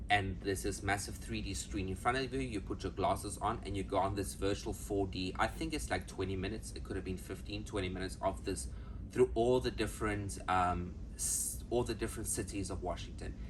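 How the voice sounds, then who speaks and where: With audible room echo, a man uses a very deep, low pitch, vocal fry and very wide pitch swings. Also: fairly quick pace. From South Africa. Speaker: travel vlogger. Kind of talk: casual travel vlog. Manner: fast; animated.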